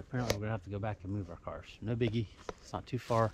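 Light background noise behind a man, his sound dry with no echo. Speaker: hiker vlogger. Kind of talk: casual vlog chat. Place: forest. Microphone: phone near.

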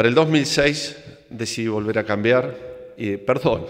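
Against a quiet background, a man talks at a fairly slow pace with a Córdoba Argentine accent. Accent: Cordoba Argentine accent, noticeable. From Argentina, Córdoba; Argentina. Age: 50s. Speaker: engineer and entrepreneur, conference speaker; speaker. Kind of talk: conference talk. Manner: hesitant, with fillers. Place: hall. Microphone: podium.

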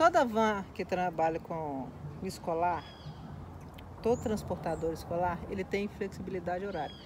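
Amid noticeable background noise, a woman with a fairly low pitch speaks at a moderate pace, leaving long, frequent pauses. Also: ordinary pitch variation. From Minas Gerais, Brazil (Belo Horizonte); Minas Gerais, Brazil. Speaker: school van driver; interviewee. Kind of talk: casual interview. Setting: at a relative's home in São Paulo. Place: garden.

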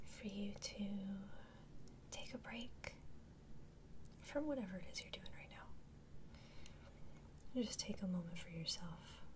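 Over noticeable background noise, the speech proceeds at a fairly slow pace. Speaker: ASMR creator. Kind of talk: ASMR mindfulness talk-down. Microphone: studio mic.

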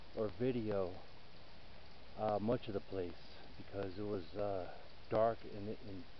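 With a dry sound and no echo, a man speaks at a fairly slow pace over light background noise. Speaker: explorer vlogger. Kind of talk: casual vlog chat. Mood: slightly uneasy excitement. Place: forest. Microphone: phone near.

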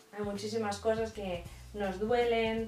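A woman's fairly high-pitched voice amid light background noise and audible room echo. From Spain. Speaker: YouTuber; vlogger. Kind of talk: faith vlog monologue. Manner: hesitant with repetitions. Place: home room. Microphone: camera far.

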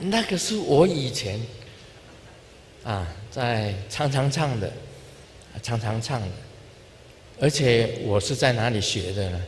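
Over light background noise, a man at medium pitch speaks at a very slow pace with lively intonation and long, frequent pauses. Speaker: Buddhist spiritual leader. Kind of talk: informal dharma talk to an audience. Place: hall. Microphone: handheld.

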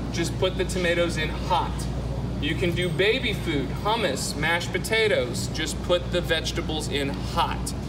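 Loud background noise behind a man talking at a moderate speed. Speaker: in-store product demonstrator. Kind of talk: live infomercial-style product demonstration to a crowd. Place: shop.

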